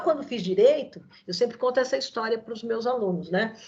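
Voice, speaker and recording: This woman speaks at a fairly quick pace. She keeps things moving. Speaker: law professor. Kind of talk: online lecture. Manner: fast.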